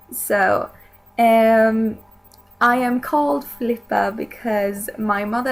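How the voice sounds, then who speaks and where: In a Swedish accent, a woman speaks with a fairly high pitch. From Sweden. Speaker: video blogger. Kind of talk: casual vlog talk.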